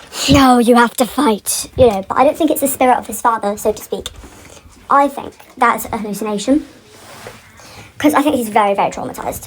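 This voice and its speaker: A high-pitched woman talks at a fairly quick pace, with long, frequent pauses, big swings in loudness, ordinary pitch variation, and noticeable background noise. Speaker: fan commentator. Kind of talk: unscripted rant. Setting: pacing around while recording. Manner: rambling, filler-heavy.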